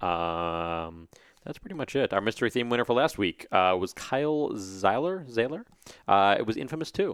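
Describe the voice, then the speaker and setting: A man at a medium pitch talks at a moderate pace with very wide pitch swings, on a very clean recording with a silent background. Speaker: podcast co-host.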